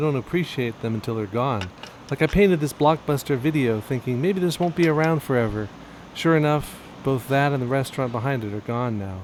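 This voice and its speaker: A man with an American accent talks at a fairly quick pace with ordinary pitch variation. Noticeable background noise is present. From US West Coast, Bay Area. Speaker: painter. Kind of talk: casual chat; tutorial.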